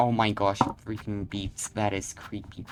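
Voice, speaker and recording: Quiet speech unfolds at a very slow pace with music in the background. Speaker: gamer. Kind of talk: gameplay commentary. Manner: halting.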